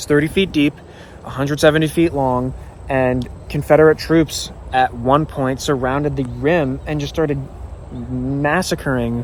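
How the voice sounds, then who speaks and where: At a moderate pace and with fairly even intonation, a man speaks over noticeable background noise. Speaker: history vlogger. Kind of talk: guided tour vlog. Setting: outdoors. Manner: casual, stumbling at times.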